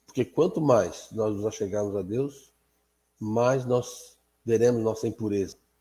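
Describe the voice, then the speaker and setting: In a dark, mellow tone, a man talks at a very slow pace. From Azores, Portugal. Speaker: Bible class teacher. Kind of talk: prayer; Bible study lesson. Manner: halting.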